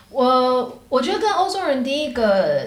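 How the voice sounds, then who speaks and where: A woman speaks at a very slow pace in a high voice. The recording carries audible room echo and noticeable background noise. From Taiwan (Taipei). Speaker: tech marketing professional. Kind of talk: casual interview chat.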